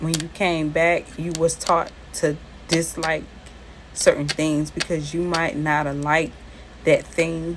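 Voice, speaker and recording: In a very deep, low voice, a woman with an American accent speaks at a fairly slow pace in a monotone, flat intonation. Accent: Southern accent similar to New Orleans. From US South, Charleston. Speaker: tarot and spiritual reader. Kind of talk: casual spiritual talk to viewers with personal story. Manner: conversational, repetitive.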